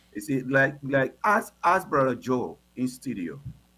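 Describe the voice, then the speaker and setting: This man talks at a fairly slow pace with a medium pitch. Vocal fry runs through his speech. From Liberia. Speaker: pastor. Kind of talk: heated debate. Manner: halting.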